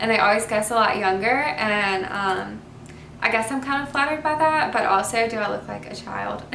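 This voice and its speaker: The speaker has a Southern US accent and ordinary pitch variation. Noticeable background noise and audible room echo are present. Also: woman. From US South, Mobile, Alabama. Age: 20s. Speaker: youtuber. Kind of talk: casual Q&A vlog. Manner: casual, hesitant with fillers.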